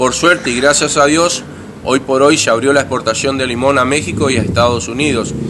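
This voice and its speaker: Fairly quick, fairly even speech over noticeable background noise. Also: man. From Argentina, Corrientes (Santa Lucía); Corrientes, Argentina. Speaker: candidate for city council; council candidate. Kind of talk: interview. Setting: at his home. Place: garden. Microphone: handheld.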